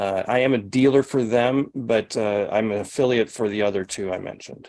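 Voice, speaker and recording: At a fairly quick pace, a man with an unremarkable speaking voice talks at a medium pitch with fairly even intonation. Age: 60s. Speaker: sauna detox practitioner and trainer. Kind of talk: live Q&A over video call. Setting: video call. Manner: conversational with frequent fillers and restarts.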